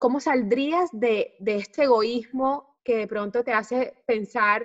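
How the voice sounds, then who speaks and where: An ordinary speaking voice with ordinary pitch variation, dry and close with no echo. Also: woman. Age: 30s. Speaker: natural family planning consultant and mom influencer. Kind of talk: casual chat.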